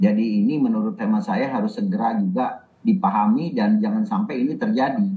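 Over noticeable background noise, a man with a high pitch talks at a fairly quick pace with hardly any pauses, his voice moving in very wide pitch swings. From Indonesia, Banjarmasin, South Kalimantan. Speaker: senior politician. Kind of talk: casual interview.

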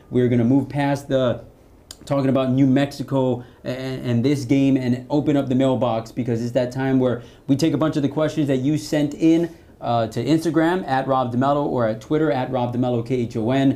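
Medium in pitch with a dark, mellow tone, a man speaks at a moderate pace with fairly even intonation. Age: 30s. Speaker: sports podcast host. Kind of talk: casual sports talk.

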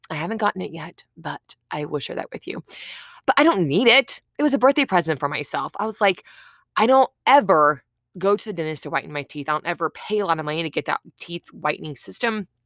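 A woman with a fairly low pitch speaks at a fairly quick pace in an animated tone. Her voice makes very wide pitch swings and big swings in loudness on a very clean recording with a silent background. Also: dry, close sound with no echo. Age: 30s. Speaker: podcast host. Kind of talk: casual solo talk.

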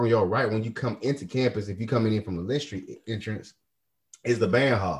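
Over a quiet background, a man speaks with an American accent, a somewhat breathy voice, and ordinary pitch variation. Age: 30s. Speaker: podcast host. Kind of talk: casual chat. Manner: animated.

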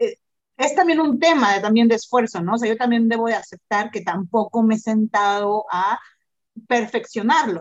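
A woman with a Mexican accent speaks at a moderate pace, her fairly high pitch moving with ordinary variation. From Mexico. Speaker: restaurant owner and content creator. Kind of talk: casual interview chat. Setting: remote call from a restaurant. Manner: animated. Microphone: echo, headphones not working.

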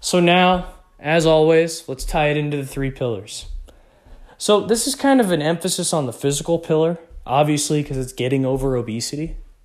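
An ordinary speaking voice, this man with an American accent talks at a fairly quick pace, his pitch fairly high with ordinary variation. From Texas. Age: young. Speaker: podcast host. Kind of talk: solo motivational podcast talk.

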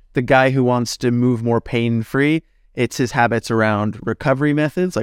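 Heard in a very clean recording with a silent background and a dry, close sound with no echo, an ordinary speaking voice with a Canadian accent keeps a moderate pace and ordinary pitch variation. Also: man. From Canada, northern Alberta. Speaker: personal trainer and natural bodybuilder. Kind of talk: casual interview.

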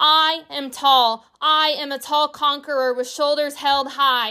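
Very slowly, a woman speaks in a high, raised, projected voice with a warm tone that is also bright and sharp. The recording is very clean, with a silent background. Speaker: podcast host. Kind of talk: poem performed, spoken-word style delivery with emphatic repetition. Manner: rhythmic, emphatic, declarative, building in intensity with repeated lines; warm, earnest, encouraging.

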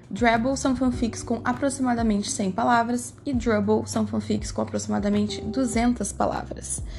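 Over noticeable background noise and audible room echo, a woman speaks at a moderate pace with hardly any pauses. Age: 20s. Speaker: student teacher presenting a class project. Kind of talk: scripted educational presentation.

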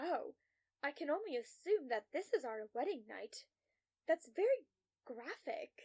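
In a put-on character voice with a dark, mellow tone, the speaker goes at a fairly slow pace with big pitch swings, the sound dry and close with no echo. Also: woman, high pitch for a woman.

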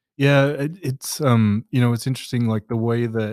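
A man with an Australian accent. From Western Australia (Perth). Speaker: product manager. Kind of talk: interview. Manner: hesitant, many fillers.

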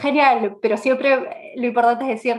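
A woman talks at moderate speed while music plays behind her. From Peru, Lima. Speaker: product management expert. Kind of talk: interview. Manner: hesitant, many fillers.

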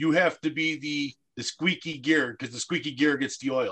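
Here a man talks with a fairly high pitch. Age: 40s. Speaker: special recreation coach. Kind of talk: radio interview.

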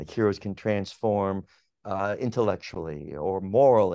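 Against a quiet background, a man with a plain, everyday voice and a fairly low pitch talks at a moderate pace. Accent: General American. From Pittsburgh, then Los Angeles from age eight. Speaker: psychology professor. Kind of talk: interview.

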